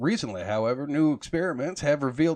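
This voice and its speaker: A man with a Texan accent and medium pitch talks at a very fast pace over a quiet background. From Texas. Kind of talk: magazine article reading.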